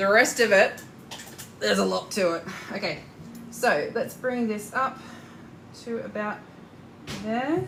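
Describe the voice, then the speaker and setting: A woman speaks with a strong Australian accent. Room echo is audible. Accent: Australian, thick. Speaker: corset maker and sewing teacher. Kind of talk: live tutorial. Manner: casual, hesitant with fillers; talkative.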